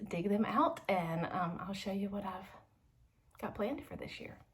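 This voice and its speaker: Against noticeable background noise, a woman with a Southern accent speaks at a moderate pace with ordinary pitch variation. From Georgia, US South. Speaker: homeschooling mom and YouTuber. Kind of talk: unboxing video.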